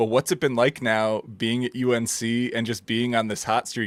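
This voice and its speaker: A man with a strong Minnesotan accent talks at a moderate pace in a medium pitch, his intonation monotone and flat, in a dry, close recording with no echo and a silent background. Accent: thick Minnesota. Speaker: podcast host. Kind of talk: interview.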